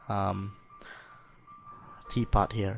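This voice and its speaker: There is music in the background while a man speaks with a non-native accent. His pitch sits fairly low. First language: not English. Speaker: software tutorial maker. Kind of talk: tutorial. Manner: halting, many fillers; casual.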